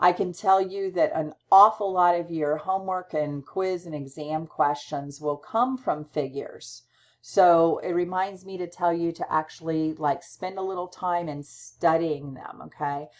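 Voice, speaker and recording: A woman speaks in a plain, everyday voice with a fairly low pitch and ordinary pitch variation. She goes at a fairly slow pace, with hardly any pauses. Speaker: college instructor. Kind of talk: lecture.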